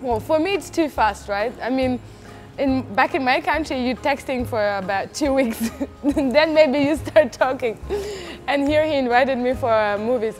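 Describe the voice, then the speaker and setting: Over music in the background, a woman with a high pitch speaks at a moderate pace with ordinary pitch variation. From Uzbekistan. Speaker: interviewee, bride. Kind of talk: casual storytelling interview.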